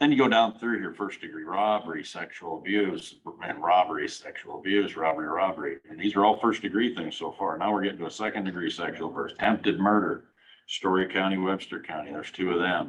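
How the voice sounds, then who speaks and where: A man with a Midwestern US accent speaks at a very fast pace with fairly low pitch and ordinary pitch variation. Noticeable background noise is present. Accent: US Midwest. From Iowa, Fort Dodge. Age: 60s. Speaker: county supervisor. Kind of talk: public meeting discussion. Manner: hesitant, with many fillers.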